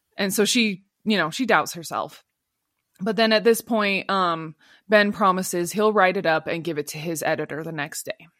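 In an ordinary speaking voice, a woman talks at a medium pitch with ordinary pitch variation, recorded very cleanly against a silent background. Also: moderate pace. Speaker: podcast co-host. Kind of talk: casual chat.

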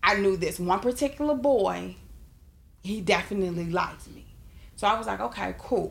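With vocal fry and lively intonation, this voice moves at a moderate pace, swinging widely in loudness and breaking into long, frequent pauses. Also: woman, medium pitch for a woman. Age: 30s. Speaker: podcast co-host. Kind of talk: casual chat.

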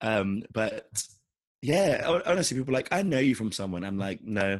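A husky man with a fairly low pitch speaks at a moderate pace with lively intonation.

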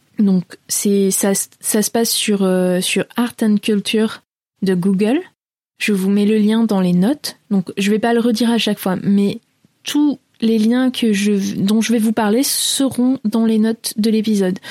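The voice has a dark, mellow tone with fairly even intonation and very even loudness. It moves at a very slow pace in a dry, close sound with no echo. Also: woman, fairly high pitch for a woman. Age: 30s. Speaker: travel podcast host. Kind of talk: casual solo podcast talk. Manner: hesitant, many fillers.

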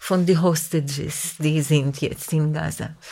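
The audio is very clean, and the background is silent. A woman talks at a very slow pace. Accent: Israeli. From Israel. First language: Hebrew (speaking German). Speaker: composer. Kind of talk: casual chat. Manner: halting.

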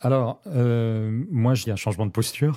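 In a very clean recording with a silent background, a man speaks at a fairly slow pace in a dark, mellow tone. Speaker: cook and cooking teacher. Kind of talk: interview. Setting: studio. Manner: hesitant, many fillers; gentle.

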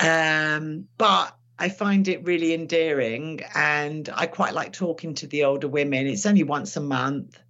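Talking at a fairly slow pace in a London accent, a woman with a very deep, low pitch shows ordinary pitch variation. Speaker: retired police detective. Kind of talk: interview.

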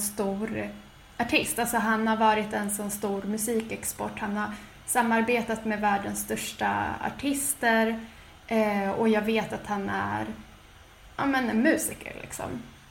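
Speaking at a fairly slow pace, a woman uses a fairly high, somewhat breathy voice with flat, monotone intonation and audible room echo. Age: 20s. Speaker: podcast co-host. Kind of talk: casual chat.

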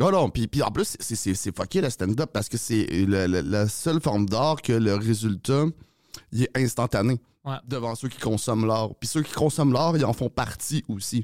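An ordinary speaking voice from a man at medium pitch, with lively intonation and a moderate pace, in a dry, close sound with no echo. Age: 30s. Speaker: comedian. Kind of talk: casual chat.

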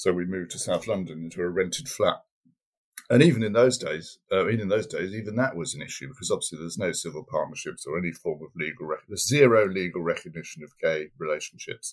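Loudness rises and falls sharply as this man speaks. He moves at a very fast pace. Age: 50s. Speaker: adoptive parent.

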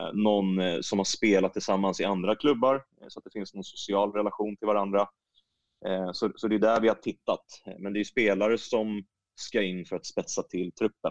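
Using a normal speaking voice, a man with fairly low pitch talks at a moderate pace, his intonation fairly even but his loudness swinging widely. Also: dry, close sound with no echo. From Stockholm region, Sweden. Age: 30s. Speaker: women's football coach. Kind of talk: interview.

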